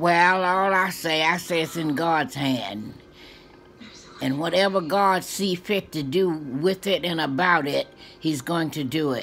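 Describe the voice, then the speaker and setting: A fairly slow pace and ordinary pitch variation, with faint music in the background. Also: woman, fairly low pitch for a woman. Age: 80s+. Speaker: grandmother being interviewed. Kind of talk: interview answer. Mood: calm, faithful, reflective. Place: home room. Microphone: phone near.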